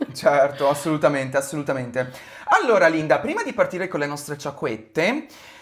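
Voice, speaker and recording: Noticeable background noise runs under the voice. The pace is fairly quick. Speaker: podcast host. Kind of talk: casual podcast chat.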